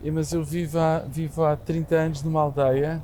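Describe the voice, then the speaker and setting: A man speaks at a fairly slow pace. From Portugal, Lisbon. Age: 60s. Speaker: real estate association president. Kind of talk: podcast interview. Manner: halting, many repetitions; calm.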